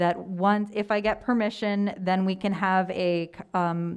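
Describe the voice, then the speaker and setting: Speaking very slowly, a woman uses a medium pitch. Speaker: Spanish teacher presenting a trip proposal. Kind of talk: presentation to school committee. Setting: video call.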